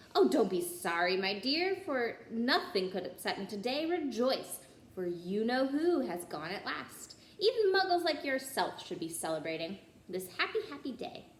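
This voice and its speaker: Doing a put-on character voice, a woman speaks squeakily at a moderate pace, fairly high in pitch, with very wide pitch swings. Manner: cheerful, gleeful.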